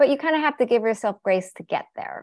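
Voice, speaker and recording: A woman with an American accent on a very clean recording against a silent background. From US Pacific Northwest, Seattle. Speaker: therapist and interior designer. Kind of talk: podcast interview.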